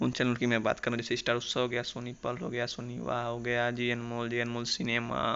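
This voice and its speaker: A man speaks at a medium pitch. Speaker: tech YouTuber. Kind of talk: tutorial.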